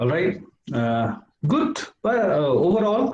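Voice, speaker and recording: Here a man speaks in a dark, mellow tone that is somewhat breathy. His pace is fairly slow. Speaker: debate judge. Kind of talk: judge's feedback.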